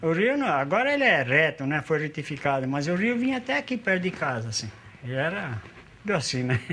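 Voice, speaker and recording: A man talks at a fairly quick pace, his pitch fairly high and swinging very widely. Light background noise sits behind him. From Brazil, São Paulo. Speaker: longtime resident. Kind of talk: casual chat. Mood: relaxed, nostalgic storytelling. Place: home room.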